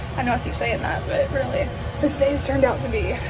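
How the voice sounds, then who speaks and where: A woman talks at a fairly quick pace. Music plays clearly in the background. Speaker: vlogger. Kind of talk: casual vlog chat.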